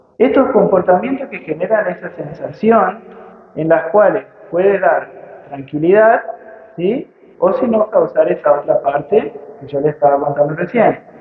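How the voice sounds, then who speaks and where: A man talks at a fairly slow pace in a high pitch, with big swings in loudness. Noticeable background noise runs underneath. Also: lively intonation. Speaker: physics teacher and writer. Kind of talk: public talk at a book fair. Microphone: poor audio quality, interference from PA microphone.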